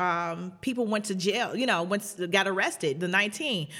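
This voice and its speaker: Her pitch medium, a woman with an American accent speaks in a bright, sharp tone with ordinary pitch variation. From Chicago South Side. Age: 30s. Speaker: activist pastor. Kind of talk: interview conversation.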